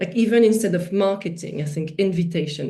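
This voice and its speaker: A woman speaks with a strong French accent at a moderate pace. Her pitch varies in an ordinary way, and the room echo is audible. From France. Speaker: festival director, workshop speaker. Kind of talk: online workshop presentation. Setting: video call. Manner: hesitant, many fillers.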